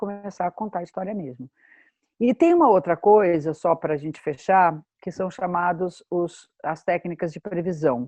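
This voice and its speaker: A woman talks at a moderate pace over music in the background. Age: 60s. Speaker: astrologer. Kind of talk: workshop talk.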